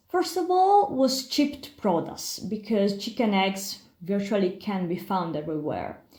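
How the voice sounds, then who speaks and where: A woman with an Italian accent, very wide pitch swings, and audible room echo. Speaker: pharmacy historian and biologist. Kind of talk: lecture. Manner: halting.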